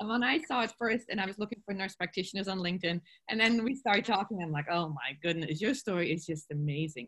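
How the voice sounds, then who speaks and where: The voice moves at a very fast pace with hardly any pauses. Its intonation is lively. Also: woman, medium pitch for a woman. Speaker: podcast host interviewing nurses. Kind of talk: casual interview.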